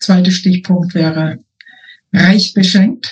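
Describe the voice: Slow and fairly even in intonation, a woman's fairly low voice has a slightly mellow tone and a slightly husky edge.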